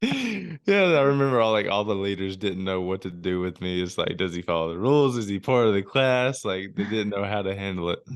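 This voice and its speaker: Here a man speaks with a Southern US accent. His voice is fairly low, and his pace is fairly quick. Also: ordinary pitch variation, hardly any pauses. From US South, Alabama. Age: 20s. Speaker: ministry worker, motocross rider. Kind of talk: podcast interview. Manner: casual.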